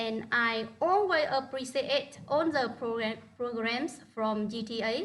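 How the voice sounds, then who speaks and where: A woman in a Vietnamese accent speaks at a very slow pace and a high pitch. She hardly pauses at all. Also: ordinary pitch variation. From northern Vietnam. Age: 30s. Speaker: primary school teacher. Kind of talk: online presentation. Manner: halting.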